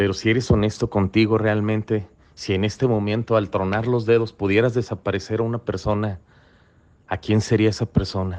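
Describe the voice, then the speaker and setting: The speaker talks at a fairly quick pace with a Mexican accent and monotone, flat intonation. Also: man, fairly low pitch for a man. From Mexico, Colima. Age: 40s. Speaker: recovery testimony speaker. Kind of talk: testimony. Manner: halting, frequent repetitions.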